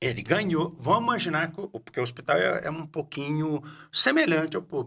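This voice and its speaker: At a fairly quick pace, a man with a fairly high pitch and a bright, sharp tone speaks with lively intonation and vocal fry. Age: 60s. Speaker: podcast host. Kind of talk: casual interview chat. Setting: studio. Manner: halting.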